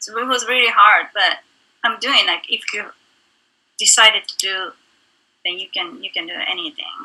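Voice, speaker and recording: With a Japanese accent, a woman speaks at a moderate pace, leaving long, frequent pauses and swinging widely in loudness. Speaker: actress and singer. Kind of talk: interview. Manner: halting.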